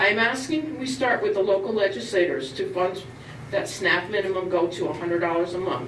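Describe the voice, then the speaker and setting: Woman of medium pitch with very wide pitch swings, moderate pace, audible room echo and noticeable background noise. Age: 60s. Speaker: public commenter at town meeting. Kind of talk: public comment speech. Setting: town board meeting.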